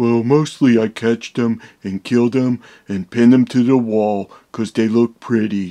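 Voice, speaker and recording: A cartoonish character voice moves at a moderate pace with fairly even intonation, recorded with a dry, close sound and no echo. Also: man, medium pitch for a man. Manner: slow, dim, friendly.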